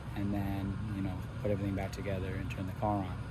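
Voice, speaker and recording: A man talks very fast and quietly. Room echo is audible. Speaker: car enthusiast vlogger. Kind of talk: casual vlog narration. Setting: garage workshop. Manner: low energy, quiet.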